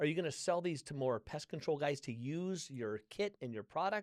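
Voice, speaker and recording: A man's normal speaking voice, fairly high-pitched, with lively intonation and a fairly slow pace, in a dry, close recording with no echo, very clean against a silent background. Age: 60s. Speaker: podcast host and author. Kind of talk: casual interview chat.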